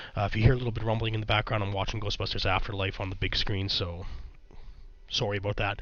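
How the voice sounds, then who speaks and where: Speaking at a very fast pace, a man with a fairly low voice is heard with audible echo from the room. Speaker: YouTube commentator. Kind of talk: commentary vlog. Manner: casual with frequent fillers.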